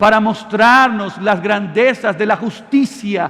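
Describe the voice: Simple, plain reading aloud.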